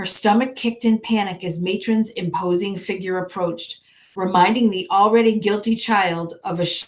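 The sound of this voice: Reading in an unforced voice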